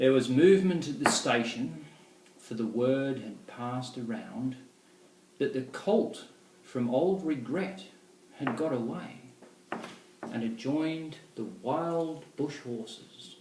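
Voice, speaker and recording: Speech comes at a very slow pace with long, frequent pauses against noticeable background noise. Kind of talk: poetry reading.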